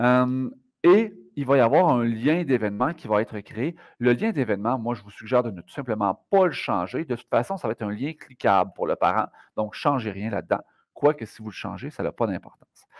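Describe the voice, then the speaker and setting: A man talks at a fairly quick pace and a medium pitch, his intonation lively and his loudness swinging widely. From Quebec. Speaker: math teacher; educator giving software tutorial. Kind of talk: tutorial. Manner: fast.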